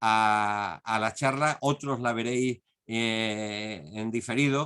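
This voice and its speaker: A man's voice with ordinary pitch variation. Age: 60s. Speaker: conference speaker. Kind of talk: lecture. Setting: online video conference.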